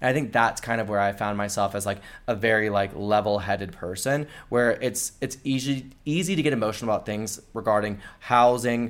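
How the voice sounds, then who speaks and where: A man with an American accent at a medium pitch, fairly quick pace and ordinary pitch variation, on a very clean recording with a silent background. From US Florida Panhandle. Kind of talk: casual interview chat. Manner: fast talker.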